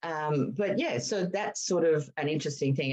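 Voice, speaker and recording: A woman with an Australian accent speaks in a very deep, low pitch. Her pace is moderate and her intonation lively. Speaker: veterinary behaviourist. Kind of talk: casual chat.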